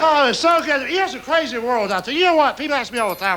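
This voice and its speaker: A man's raised, projected voice with a Southern US accent, very fast and with very wide pitch swings, over noticeable background noise. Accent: Southern US (Georgia). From rural Georgia, east of Atlanta. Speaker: stand-up comedian. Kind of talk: stand-up comedy routine.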